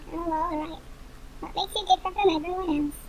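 A woman uses a cartoonish character voice, squeaky and extremely high in pitch. She talks very fast over clear background noise. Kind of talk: casual application video chat. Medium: puppet show. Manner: cheeky, deadpan. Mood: grudging, then curious.

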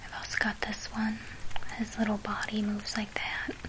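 Whispering, a woman talks at a moderate pace. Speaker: vlogger. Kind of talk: casual vlog chat. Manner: soft, hushed ASMR speaking. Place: home room. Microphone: phone near.

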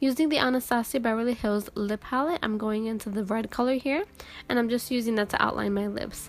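Music plays in the background as a woman speaks at a fairly quick pace. Her pitch is fairly high, with ordinary variation. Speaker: makeup artist. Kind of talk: makeup tutorial voiceover.

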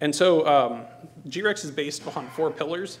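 A man at a moderate pace, fairly high in pitch, with ordinary pitch variation.

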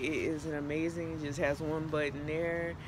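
Against noticeable background noise, a woman speaks in a monotone at a very deep, low pitch, with a dry sound and no echo. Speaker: fashion vlogger. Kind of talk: casual vlog chat. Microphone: phone near.

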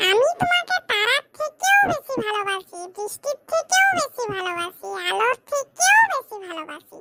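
An extremely high-pitched cartoonish character voice from a woman, lively in intonation at a fairly slow pace, with a dry, close sound and no echo. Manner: teasing.

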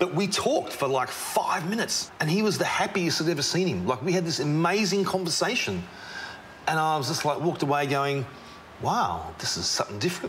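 A man with an Australian accent, high pitch and lively intonation, at a fairly quick pace with very even loudness and light background noise. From Melbourne, Australia. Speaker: tradesman and charity founder; presenter. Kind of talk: interview. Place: factory.

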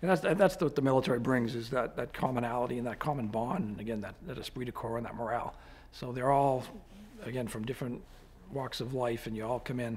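This man talks at a very fast pace with a Boston accent. His pitch sits in the middle range and varies in an ordinary way. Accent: Boston-area. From Quincy, Massachusetts; Massachusetts. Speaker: army general and state police officer. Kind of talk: interview. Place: office.

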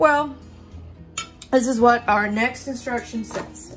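Faint background music plays. Over it, a woman talks at a fairly slow pace. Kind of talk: tutorial. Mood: relaxed, homely. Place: kitchen. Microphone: camera far.

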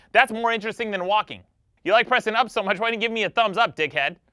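In a quiet, dry setting with no echo, a man speaks with a bright, sharp tone. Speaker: comedic video host. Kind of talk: comedic rant to camera. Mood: mock angry, sarcastic. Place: studio.

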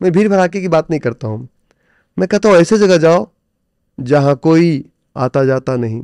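Against a quiet background, a man's dark, mellow tone moves with lively intonation, the sound dry with no echo. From India. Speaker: stock trader and trading coach; podcast guest, coach. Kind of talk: interview conversation. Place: studio. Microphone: studio mic.

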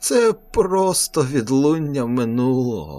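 A put-on character voice at low-to-middle pitch and a fairly slow pace. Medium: read story. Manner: calm, cryptic, unsettling.

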